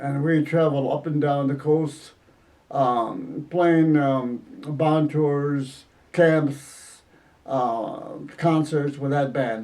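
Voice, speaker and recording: Very slowly and with fairly even intonation, a man with a fairly high pitch speaks in an American accent. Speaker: musician, retired school principal. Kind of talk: interview answer.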